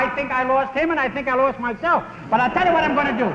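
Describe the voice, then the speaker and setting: A raised, projected voice at a very fast pace, with ordinary pitch variation, light background noise, and audible room echo. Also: man. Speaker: comedian. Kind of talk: comedy routine. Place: studio.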